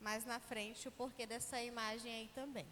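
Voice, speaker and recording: High-pitched woman at a moderate pace, with audible room echo. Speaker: preacher. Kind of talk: sermon. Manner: slurred speech.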